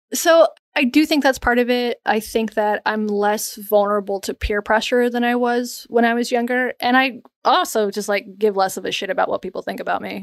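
A woman with an American accent uses a normal speaking voice, fairly high in pitch, with ordinary pitch variation at a moderate pace. The sound is dry and close, with no echo. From US South, North Carolina. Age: 30s. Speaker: journalist and podcast co-host. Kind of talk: interview.

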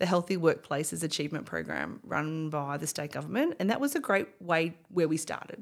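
A woman with a fairly low pitch speaks at a moderate pace and with lively intonation, on a very clean recording with a silent background. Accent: Australian. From Australia, Bendigo (regional Victoria). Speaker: company CEO. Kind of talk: interview.

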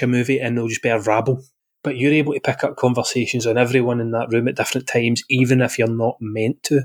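A man talks at a very fast pace with a Glaswegian accent. His pitch sits in the medium range. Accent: Glaswegian Scottish. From Scotland, Glasgow. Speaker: podcast host. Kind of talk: casual chat.

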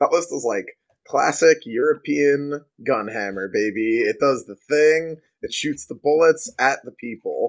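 At a fairly slow pace, a man with an unremarkable speaking voice talks in a fairly high pitch with lively intonation and big swings in loudness. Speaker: podcast host and 40k player. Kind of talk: casual chat.

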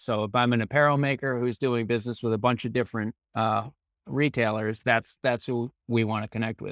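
A man with an American accent uses a plain, everyday voice at medium pitch, talking at a fairly quick pace with fairly even intonation, the sound dry and close with no echo in a very clean recording with a silent background. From Maine, US. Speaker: data management business owner. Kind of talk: interview.

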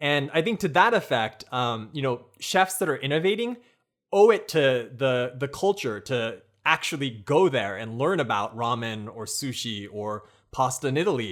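With an American accent, a man speaks in an unremarkable speaking voice at a medium pitch and a moderate pace. His intonation is lively, and the recording is very clean with a silent background. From United States. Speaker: food blogger and cooking show host. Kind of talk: casual chat.

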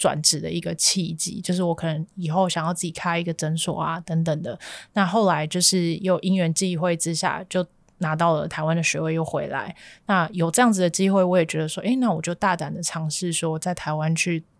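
A woman's ordinary speaking voice, fairly low in pitch and fairly quick, with fairly even intonation on a very clean recording with a silent background. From Malaysia. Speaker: graduate student and worker. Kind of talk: casual interview.

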